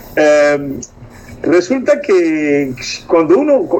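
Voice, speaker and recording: Noticeable background noise runs under a man whose intonation is lively. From Cuba. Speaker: co-host. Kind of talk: casual interview.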